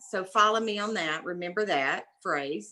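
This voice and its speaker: A woman with a Southern US accent speaks at a fairly slow pace. Her medium-pitched voice has a bright, sharp tone. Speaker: mother of brain injury survivor, speaker. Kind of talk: talk to a class. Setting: video call. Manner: animated.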